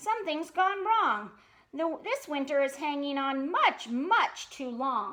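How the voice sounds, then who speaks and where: A woman puts on a high-pitched character voice and speaks fairly slowly. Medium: read story.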